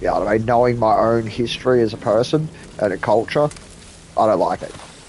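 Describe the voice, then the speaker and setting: Over noticeable background noise, a man with an Australian accent speaks in an animated tone at a very fast pace and medium pitch. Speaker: video game streamer. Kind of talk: casual chat.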